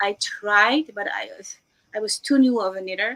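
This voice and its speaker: A woman's fairly high voice with a Dutch accent. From Netherlands. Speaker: knitwear designer and educator. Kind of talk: interview. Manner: animated.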